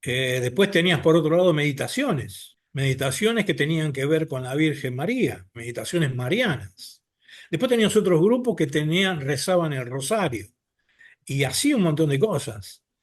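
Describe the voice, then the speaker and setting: A man speaks in a fairly high voice that swings very widely in pitch. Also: moderate pace. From Argentina, Buenos Aires. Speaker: abductee sharing experiences. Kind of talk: personal testimony in podcast interview.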